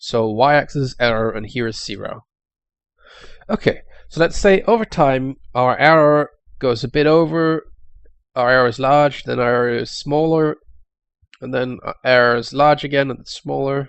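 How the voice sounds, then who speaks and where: Moderate pace with long, frequent pauses and ordinary pitch variation, in a Danish accent. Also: man, fairly high pitch for a man. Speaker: YouTube tech explainer. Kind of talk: tutorial. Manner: halting, with fillers.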